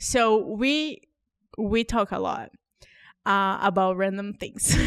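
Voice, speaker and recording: Very slowly and with a non-native accent, a woman speaks at a medium pitch with ordinary pitch variation. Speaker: podcast host. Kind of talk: casual chat.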